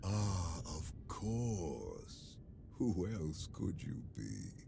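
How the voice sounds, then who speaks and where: A man puts on a character voice with a very deep, low pitch and a very slow pace. Loud background noise fills the recording. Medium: video game. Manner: calm, measured.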